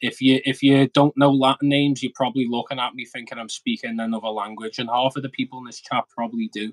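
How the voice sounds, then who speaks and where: Talking at a very fast pace with hardly any pauses, a man has a strong Scouse accent and a medium pitch. His intonation stays fairly even while his loudness swings a lot. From Liverpool, England. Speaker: aquarium hobbyist youtuber. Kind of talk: casual chat. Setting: live stream.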